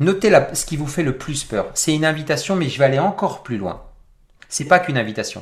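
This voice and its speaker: A man with an ordinary speaking voice talks at a fairly quick pace, his fairly high pitch carrying lively intonation. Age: 40s. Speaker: personal development coach. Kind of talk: interactive webinar talk.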